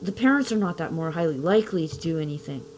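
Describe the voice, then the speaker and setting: A woman speaks with a Canadian accent. Her pitch swings very widely. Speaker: parent giving testimony. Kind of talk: testimony. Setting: video with face mask.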